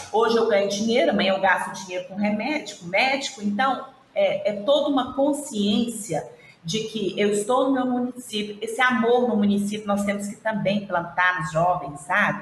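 Amid noticeable background noise and audible room echo, a woman speaks at a moderate pace with medium pitch and ordinary pitch variation. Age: 50s. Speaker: regional manager of an internship institute. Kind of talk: interview on a live stream.

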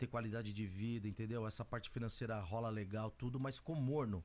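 On a very clean recording with a silent background, a man speaks in an unremarkable speaking voice at medium pitch with ordinary pitch variation. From Brazil, São Paulo east zone. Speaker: music producer and rapper. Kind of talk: casual interview.

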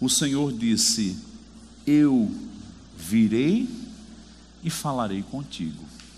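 With audible room echo, a medium-pitched man speaks very slowly, with lively intonation and long, frequent pauses. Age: 40s. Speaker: preacher. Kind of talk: sermon. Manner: animated.

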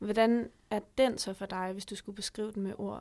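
At a moderate pace, a woman with a fairly high pitch speaks in monotone, flat intonation on a very clean recording with a silent background. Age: young. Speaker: podcast host. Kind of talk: interview.

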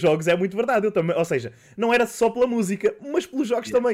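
His pitch varies in an ordinary way. The man talks very fast. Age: 30s. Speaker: podcast host and streamer. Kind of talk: casual chat.

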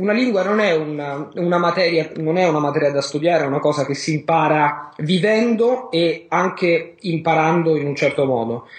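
A man's fairly high voice at a moderate pace, very even in loudness, with ordinary pitch variation and noticeable background noise. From Rome, Italy. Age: 30s. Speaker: polyglot and language learning teacher. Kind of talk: interview.

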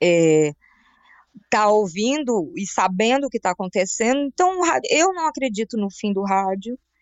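A woman's pitch sits fairly high and swings very widely as she talks. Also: moderate pace. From Brazil, raised in Brasília, Rio Grande do Sul and Paraíba. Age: 40s. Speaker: journalist and radio announcer. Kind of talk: casual interview chat.

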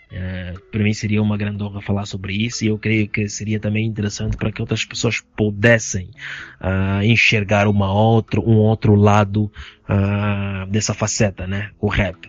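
A man's fairly low, monotone voice with flat intonation at a moderate pace, over background music. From Angola, Benguela. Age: 20s. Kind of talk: casual chat.

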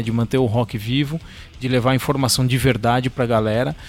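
Noticeable background noise sits under a man with a medium pitch speaking in a monotone, flat intonation. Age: 40s. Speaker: drummer and drum teacher. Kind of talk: casual chat.

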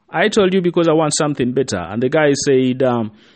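Using an ordinary speaking voice, a man with a fairly high pitch speaks with lively intonation. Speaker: motivational speaker. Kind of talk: pep talk. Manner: earnest, direct, urging the listener; warm, encouraging, repeatedly addressing 'you'.

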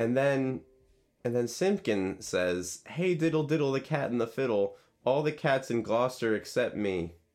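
Over music in the background, a man at medium pitch talks at a moderate pace with lively intonation. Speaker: podcast co-host. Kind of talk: casual banter, comedic podcast discussion of a children's book.

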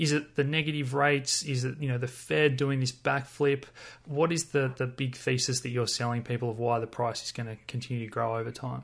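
Fairly quick and somewhat breathy, a man talks at a medium pitch with fairly even intonation. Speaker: podcast host. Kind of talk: casual interview.

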